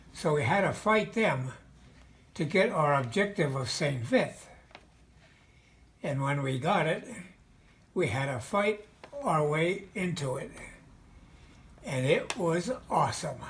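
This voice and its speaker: A man with an American accent, high-pitched, very slow, with lively intonation and long, frequent pauses. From Mahanoy City, Pennsylvania. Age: 80s+. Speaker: World War II veteran. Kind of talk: interview answer. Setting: video call.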